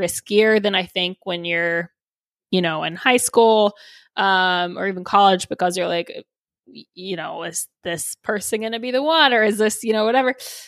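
A woman speaks at a moderate pace and medium pitch in a normal speaking voice. The sound is dry and close, with no echo. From Texas. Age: 30s. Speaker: podcaster. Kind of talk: casual chat. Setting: remote interview from her apartment.

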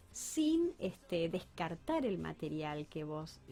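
A woman's voice with very wide pitch swings, music in the background. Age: 50s. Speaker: architect and public works official. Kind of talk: interview.

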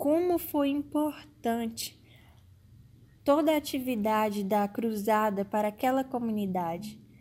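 A woman's fairly high, dark and mellow voice with lively intonation at a fairly slow pace, on a very clean recording with a silent background. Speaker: podcast host. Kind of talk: scripted narration.

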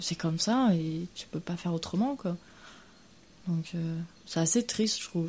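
A woman's somewhat breathy, fairly low voice with a dark, mellow tone at a moderate pace, on a very clean recording with a silent background. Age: 20s. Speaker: interviewee. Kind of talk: casual interview.

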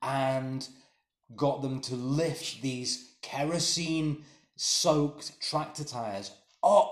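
The man's pitch is fairly high, with ordinary variation. He speaks at a very slow pace. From England. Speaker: podcast co-host. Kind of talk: casual chat.

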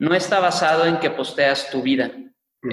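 Man with an unremarkable speaking voice, fairly even intonation and a fairly slow pace. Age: 20s. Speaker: tech entrepreneur. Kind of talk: interview.

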